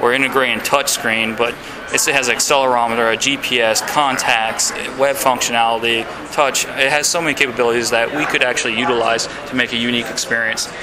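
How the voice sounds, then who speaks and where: With audible room echo and noticeable background noise, a man talks at a fairly quick pace in a monotone, flat intonation. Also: medium pitch for a man. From Louisiana (Baton Rouge). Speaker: indie game developer. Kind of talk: interview. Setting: game developers conference. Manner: hesitant, many fillers.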